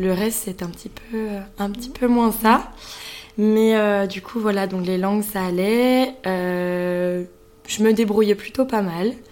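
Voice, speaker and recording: A woman speaks very slowly at a medium pitch, with big swings in loudness, long and frequent pauses, and fairly even intonation. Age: 20s. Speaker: business school student. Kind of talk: interview.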